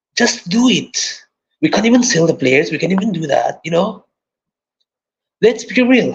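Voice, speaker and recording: An animated man speaks with a high pitch and lively intonation. His moderate pace is broken by long, frequent pauses. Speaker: football fan channel host. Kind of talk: live stream football chat. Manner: animated, repetitive fillers.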